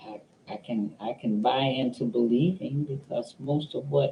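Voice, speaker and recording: A man's somewhat breathy voice, fairly high in pitch, with a dark, mellow tone. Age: 80s+. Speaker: elder sharing life reflections. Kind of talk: reflective monologue. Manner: halting.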